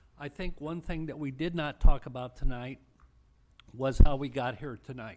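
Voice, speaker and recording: This man has a normal speaking voice with a fairly high pitch and ordinary pitch variation. He talks at a moderate pace, his loudness swinging widely. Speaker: city councilmember. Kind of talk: formal council remarks.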